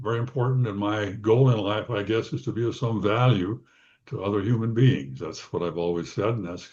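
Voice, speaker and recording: A man with an American accent speaks at a fairly quick pace, with a medium pitch and ordinary pitch variation. His tone is dark and mellow, and somewhat breathy. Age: 80s+. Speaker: psychologist. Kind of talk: interview. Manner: halting.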